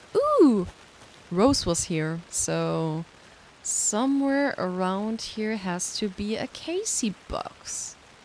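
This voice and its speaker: A woman with a German accent at a very slow pace. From Germany. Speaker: streamer. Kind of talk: casual gaming livestream commentary. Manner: animated.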